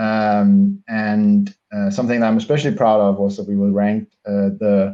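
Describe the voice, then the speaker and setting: In a Danish accent, a man speaks at a fairly low pitch. His tone is dark and mellow, his intonation monotone and flat. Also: moderate pace. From Denmark. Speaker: bank digital executive. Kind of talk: interview. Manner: halting, many fillers.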